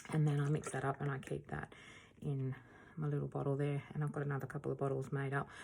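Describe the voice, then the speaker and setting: A woman's very deep, low voice, very fast and monotone with flat intonation, against noticeable background noise. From Australia. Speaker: acrylic pour artist. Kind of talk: tutorial. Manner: casual, hesitant with fillers.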